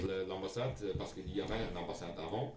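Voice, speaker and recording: Audible room echo surrounds a man speaking with a Dutch accent. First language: Dutch (speaking French). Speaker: diplomat. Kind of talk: formal speech to community. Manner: halting, many hesitations.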